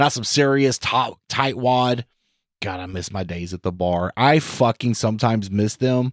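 A man at medium pitch and moderate pace, ordinary pitch variation, dry and close sound with no echo. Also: very clean recording, silent background. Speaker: podcast co-host. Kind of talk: casual chat, comedic banter. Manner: mumbles.

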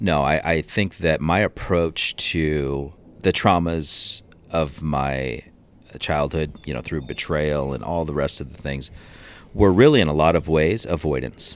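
A man with an American accent and a very deep, low pitch, at a fairly slow pace. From Seattle area, Washington. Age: 40s. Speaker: police officer. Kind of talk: interview testimony. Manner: halting, many fillers.

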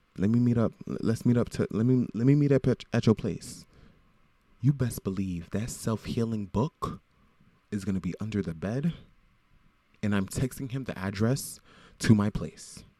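A man with an American accent and a dark, mellow tone speaks at a moderate pace, taking long, frequent pauses. The recording is very clean with a silent background. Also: medium pitch for a man, ordinary pitch variation. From South Florida, Broward County. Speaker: podcaster. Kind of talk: casual monologue. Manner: animated.

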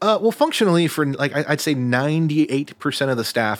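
Here is a man with a normal speaking voice and lively intonation at a fairly quick pace. The recording is very clean with a silent background. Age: 30s. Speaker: concert lighting designer. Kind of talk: casual interview. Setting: studio.

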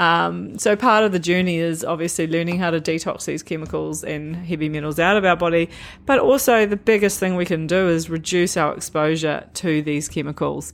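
With a New Zealand accent, a woman talks at a fairly quick pace with hardly any pauses, her fairly low pitch showing ordinary variation over music in the background. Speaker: nutritionist, podcast host. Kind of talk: solo podcast talk, educational. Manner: animated.

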